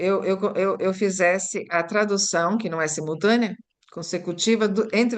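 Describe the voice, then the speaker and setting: In an Italian accent, a woman speaks at a fairly slow pace with fairly even intonation and a medium pitch. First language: Italian (speaking Portuguese). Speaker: language teacher and workshop host. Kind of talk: online teacher workshop discussion. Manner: thinking aloud, halting with repetitions.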